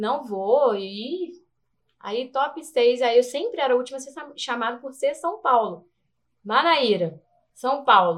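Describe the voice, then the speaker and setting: Speaking very slowly in a high pitch, a woman uses lively intonation, big swings in loudness, and long, frequent pauses. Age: 30s. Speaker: beauty pageant contestant and dancer. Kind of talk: casual interview chat.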